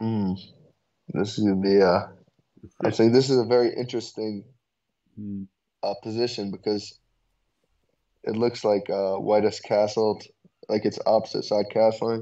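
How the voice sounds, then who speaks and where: A man's fairly low, monotone voice with an American accent, at a fairly slow pace with long, frequent pauses. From Brooklyn, New York. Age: young. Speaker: chess student. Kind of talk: chess lesson. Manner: halting.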